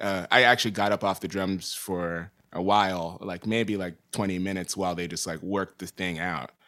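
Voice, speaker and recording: On a very clean recording with a silent background, a man with an unremarkable speaking voice talks at a moderate pace, fairly low in pitch, with an American accent. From New York City. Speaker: drummer and producer. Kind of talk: casual chat. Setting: recording studio.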